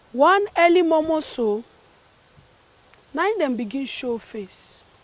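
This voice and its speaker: Noticeable noise sits behind speech delivered very slowly. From Nigeria, Jos, Plateau State. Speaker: spoken word performer. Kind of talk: spoken word performance in Nigerian Pidgin.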